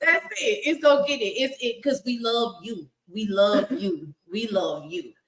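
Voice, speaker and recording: A woman with a Southern US accent speaks loudly at a high pitch and a fairly slow pace. Her tone is animated, and her pitch swings very widely. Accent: Southern US, country. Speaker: live stream talk show host. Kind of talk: prayer; casual chat. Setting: live stream with comment section.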